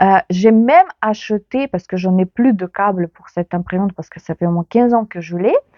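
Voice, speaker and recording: A woman speaks with a Ukrainian accent. Her pace is fairly quick, and her pitch varies in an ordinary way. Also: medium pitch for a woman, hardly any pauses, big swings in loudness. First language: Ukrainian (speaking French). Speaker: knitting youtuber. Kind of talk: casual vlog chat. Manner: hesitant, many fillers.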